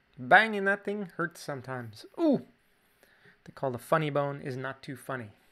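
A man with a Canadian accent talks at a moderate pace, his fairly high voice bright and sharp with lively intonation. His loudness swings widely over a quiet background. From Canada. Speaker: drawing teacher. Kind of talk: tutorial. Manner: casual. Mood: relaxed, playful.

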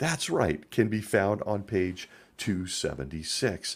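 A man with a fairly low pitch and vocal fry is heard on a very clean recording with a silent background. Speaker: podcast host, former Jehovah's Witness elder. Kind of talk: solo podcast commentary. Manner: sarcastic, humorous.

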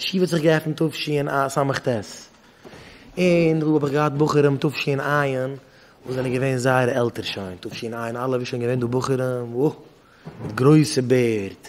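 At a moderate pace, a man talks with ordinary pitch variation over light background noise. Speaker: rabbi teaching yeshiva students. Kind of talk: lecture. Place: hall. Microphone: podium.

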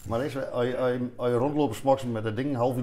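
Over light background noise, a man speaks at a very fast pace with monotone, flat intonation. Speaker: musician. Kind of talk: casual conversation at a café table. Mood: amused, laughing. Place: cafe. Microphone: lapel.

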